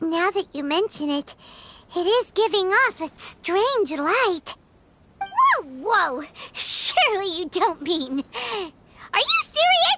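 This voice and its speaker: An extremely high-pitched, put-on character voice at a fairly slow pace. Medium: video game. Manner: energetic, exclamatory.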